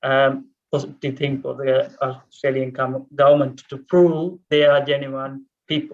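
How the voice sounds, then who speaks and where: Fairly slow, monotone speech from a man in a Tamil accent, fairly high in pitch with flat intonation. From Sri Lanka (Tamil). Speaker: refugee speaker. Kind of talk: panel Q&A testimony. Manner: halting, many fillers.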